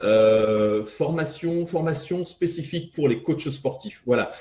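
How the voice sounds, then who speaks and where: A man with a fairly high pitch, a dark, mellow tone, lively intonation and a somewhat breathy sound. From France. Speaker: fitness coach trainer. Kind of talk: podcast interview.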